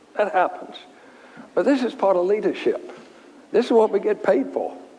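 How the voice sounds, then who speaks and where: Speaking at a moderate pace with a Virginia accent, a man uses an extremely high pitch with very wide swings. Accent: Southern US (Virginia). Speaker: furniture company chairman. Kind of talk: Q&A talk with anecdotes.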